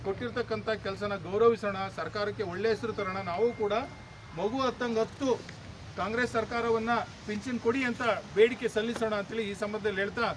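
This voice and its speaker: A man's high-pitched, monotone voice with flat intonation over noticeable background noise. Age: 50s. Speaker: government doctor and union speaker. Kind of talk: protest speech.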